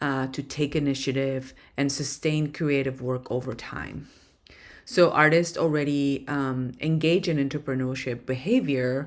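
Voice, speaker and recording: A woman with a non-native accent speaks slowly-ish at a very deep, low pitch with fairly even intonation, with audible room echo around her. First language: not English. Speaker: professor. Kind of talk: lecture. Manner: hesitant, many fillers.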